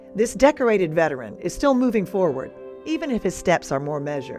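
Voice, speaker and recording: Against music in the background, a woman talks at a moderate pace. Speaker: TV news reporter. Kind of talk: TV news report narration.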